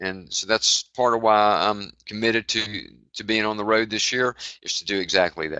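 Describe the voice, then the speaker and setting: With fairly even intonation and a fairly low pitch, a man speaks at a moderate pace in a plain, everyday voice. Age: 60s. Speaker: executive of a heart-focused wellness organization. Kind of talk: interview. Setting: live online webinar.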